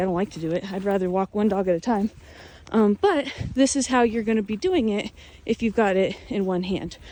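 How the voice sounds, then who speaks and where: Medium pitch from a woman over noticeable background noise. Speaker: dog trainer. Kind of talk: tutorial. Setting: outdoors. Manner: casual, filler-heavy; firm commands to dogs.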